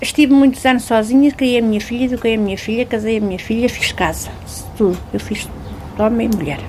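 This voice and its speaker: Noticeable background noise sits behind a woman with a fairly high pitch. She talks at a fairly quick pace with ordinary pitch variation. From central Portugal. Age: 50s. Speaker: railway level-crossing keeper. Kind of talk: interview testimony.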